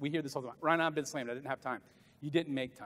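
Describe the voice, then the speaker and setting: An animated man with an American accent. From US South. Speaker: motivational business speaker; motivational speaker. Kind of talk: conference keynote speech. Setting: stage with audience at conference. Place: hall.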